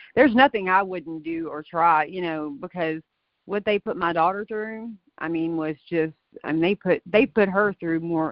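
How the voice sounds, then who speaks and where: A woman's fairly low-pitched voice, an ordinary speaking voice. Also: ordinary pitch variation, moderate pace. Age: 40s. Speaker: mother of a daughter in a custody case. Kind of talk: casual chat.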